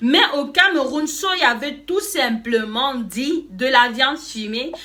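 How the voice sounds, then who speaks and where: Noticeable background noise sits behind a woman's raised, projected voice. Her intonation is lively. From Cameroon. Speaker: YouTuber. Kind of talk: casual vlog explaining slang. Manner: animated.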